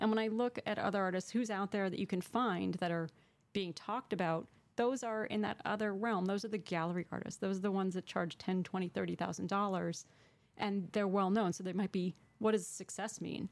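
A woman with an American accent speaks in a plain, everyday voice at a medium pitch and fairly quick pace, her intonation fairly even. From Connecticut. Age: 50s. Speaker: painter; interviewee. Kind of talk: interview. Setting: studio.

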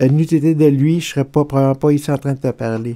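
A man's fairly high voice carries a dark, mellow tone and a monotone, flat intonation. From Quebec. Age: 50s. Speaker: mental health testimony guest; guest. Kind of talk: testimony. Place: home room.

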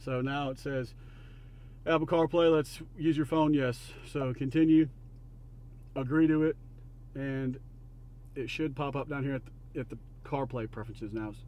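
The pace is fairly slow, with long, frequent pauses. The tone is slightly mellow and the intonation fairly even. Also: man, medium pitch for a man.

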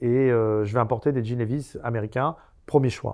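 A man at a fairly quick pace, with ordinary pitch variation and a quiet background. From France, Seine-Saint-Denis (Paris suburbs); France. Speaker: convicted fraudster and author; interview guest. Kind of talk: interview. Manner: halting. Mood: calm storytelling. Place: studio. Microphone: lapel.

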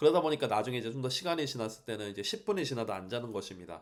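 Ordinary pitch variation runs through this man's speech at a medium pitch. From South Korea. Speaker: language teacher. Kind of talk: solo podcast monologue. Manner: formal; hesitant with many fillers.

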